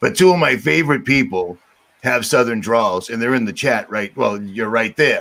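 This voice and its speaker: A medium-pitched man with a Boston accent, bright and sharp in tone, animated, with lively intonation at a moderate pace. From Boston, Massachusetts. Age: 50s. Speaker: livestream host. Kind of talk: casual chat on livestream.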